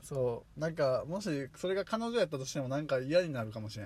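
A man speaks with a Kansai accent in a somewhat breathy voice, fairly high in pitch and marked by very wide pitch swings. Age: 20s. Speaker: podcast co-host. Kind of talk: casual chat.

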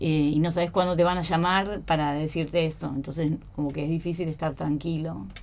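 A woman with a very deep, low pitch speaks fairly quickly with fairly even intonation and hardly any pauses. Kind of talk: radio interview.

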